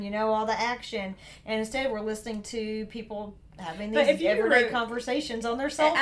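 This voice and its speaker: A woman speaks at a fairly high pitch and a fairly quick pace with a Southern US accent. Noticeable background noise is present. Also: ordinary pitch variation. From Southern United States. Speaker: podcast co-host.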